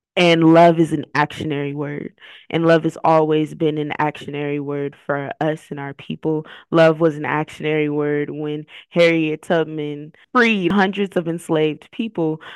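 Recorded dry and close with no echo, a woman with an American accent and a very deep, low pitch speaks at a moderate pace with fairly even intonation. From Texas (Dallas-Fort Worth). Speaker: youth organizer. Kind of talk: interview.

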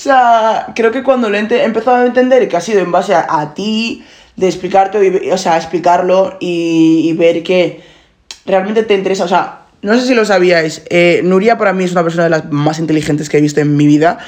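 Her pitch medium and its variation ordinary, a woman talks in an ordinary speaking voice. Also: moderate pace. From Nigeria. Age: 20s. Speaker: podcast host. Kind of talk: casual chat. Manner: code-switching Spanish and English.

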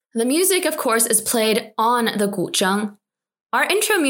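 Lively intonation in a natural reading voice, the background quiet

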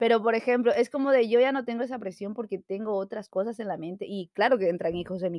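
A woman's fairly high voice at a very fast pace, with ordinary pitch variation and hardly any pauses. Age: 20s. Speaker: podcast co-host. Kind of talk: casual chat.

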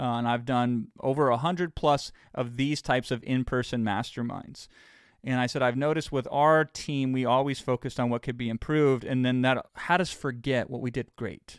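With an unremarkable speaking voice, a man talks at a moderate pace in a medium pitch with fairly even intonation, on a very clean recording with a silent background. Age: 40s. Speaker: podcast host and business coach. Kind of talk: motivational monologue.

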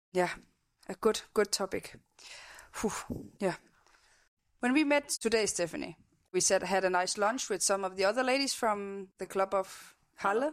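A woman with a Danish accent speaks with long, frequent pauses. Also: medium pitch for a woman, ordinary pitch variation, moderate pace, very clean recording, silent background. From Denmark. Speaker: podcast host. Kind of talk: casual interview chat. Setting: home kitchen studio.

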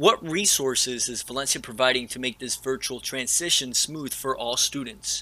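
A man with an ordinary speaking voice talks at a moderate pace and a medium pitch, with hardly any pauses and ordinary pitch variation.

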